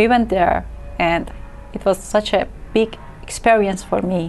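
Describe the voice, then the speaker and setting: A woman talks over noticeable background noise. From Iran, Tehran. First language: Persian. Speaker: asylum seeker, translator. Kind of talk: TV interview.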